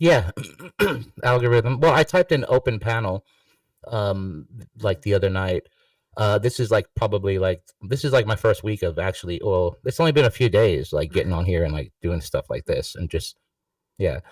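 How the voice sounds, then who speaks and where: The voice is somewhat breathy, with lively intonation at a moderate pace, in a dry, close sound with no echo. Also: man, fairly low pitch for a man. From New York. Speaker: musician joining an open online panel. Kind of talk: casual chat. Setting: online video livestream panel. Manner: rambling, halting with many fillers.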